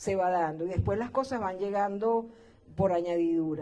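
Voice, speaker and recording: A woman's dark, mellow tone at a moderate pace, with ordinary pitch variation. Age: 60s. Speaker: radio host. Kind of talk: interview.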